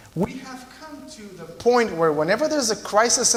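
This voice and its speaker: Over noticeable background noise and audible room echo, a man with a Romanian accent talks at a fairly slow pace with very wide pitch swings. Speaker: visiting preacher. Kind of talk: sermon.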